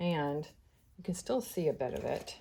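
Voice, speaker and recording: In a very clean recording with a silent background, a woman speaks. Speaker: scrapbooking crafter. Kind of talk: tutorial. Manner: hesitant, many fillers.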